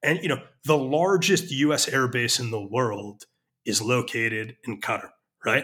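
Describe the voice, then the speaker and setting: With an American accent, the speaker has a bright, sharp tone and lively intonation at a moderate pace, on a very clean recording with a silent background. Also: man, medium pitch for a man. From United States. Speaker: journalist and editor, former army officer. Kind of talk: interview.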